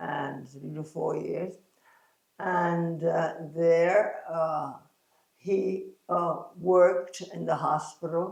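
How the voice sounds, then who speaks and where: Very slowly and with fairly even intonation, a woman talks at a fairly low pitch. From US Northeast, New York City, Puerto Rican parents. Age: 90s. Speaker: pilates teacher and former ballet dancer. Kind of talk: interview. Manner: halting, many fillers.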